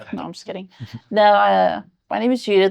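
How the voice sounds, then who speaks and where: A woman of medium pitch speaks with an American accent against a quiet background. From Oklahoma, Norman. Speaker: guest storyteller. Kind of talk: casual chat.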